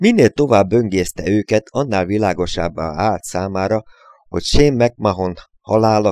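The plain reading aloud carries lively intonation.

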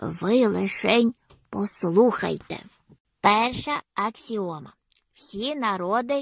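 A woman's put-on character voice at medium pitch, slow and with a slightly husky edge and vocal fry, ordinary pitch variation, in a dry, close sound with no echo

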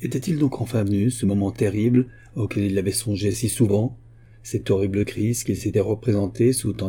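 Natural voice reading aloud, intonation staying fairly even

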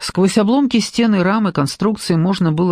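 Ordinary pitch variation marks the unforced reading voice heard here.

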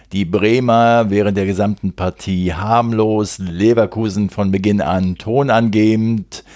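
A man's fairly low voice at a very slow pace, with hardly any pauses and fairly even intonation. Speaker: football podcast host. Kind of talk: solo match recap podcast.

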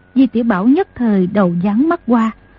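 Someone reads in an unforced reading voice, the intonation lively from line to line.

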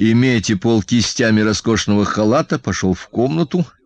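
The speaker reads in a natural reading voice.

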